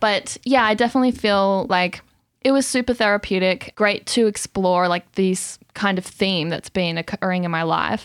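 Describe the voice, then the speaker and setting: On a very clean recording with a silent background and a dry, close sound with no echo, a woman talks in an ordinary speaking voice at medium pitch and a moderate pace, with ordinary pitch variation. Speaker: singer-songwriter. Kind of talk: casual interview chat. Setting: studio.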